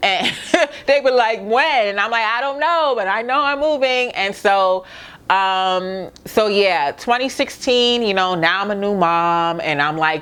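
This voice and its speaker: A woman's upbeat, medium-pitched voice in a Brooklyn accent, with lively intonation at a fairly slow pace. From Brooklyn, New York. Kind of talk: casual talk to camera. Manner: upbeat, chatty.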